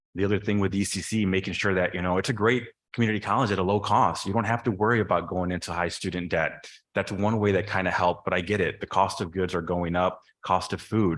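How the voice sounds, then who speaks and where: With a Chicago-area accent, a man speaks very fast in a very deep, low pitch and fairly even intonation, captured in a very clean recording with a silent background. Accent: Chicago-area American English. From northern Illinois, Chicago suburbs. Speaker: board of trustees candidate. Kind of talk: candidate forum answer.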